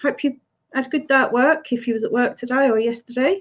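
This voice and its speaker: A woman speaks in an English accent. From Essex, England. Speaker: YouTube live streamer. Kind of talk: casual chat. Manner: animated.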